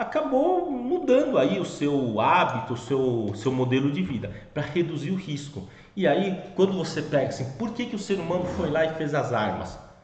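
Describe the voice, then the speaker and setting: Amid audible room echo and noticeable background noise, a man speaks at a moderate pace with a fairly high pitch that swings very widely. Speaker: finance educator. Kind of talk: educational talk. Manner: casual with fillers.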